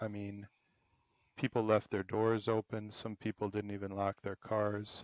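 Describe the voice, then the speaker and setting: In an Upper Midwest accent, a man speaks at a fairly slow pace with a fairly low pitch and a monotone, flat delivery. The sound is dry and close, with no echo. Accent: Upper Midwest American. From Madison, Wisconsin. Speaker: podcast host. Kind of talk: interview.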